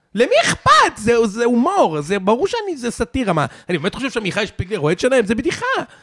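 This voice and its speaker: A man's extremely high pitch with very wide swings, a very fast pace and hardly any pauses, over noticeable background noise. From Israel, Savyon and Ramat Gan. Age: 30s. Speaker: podcaster and tech marketer. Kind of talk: casual chat. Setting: dinner at a loft.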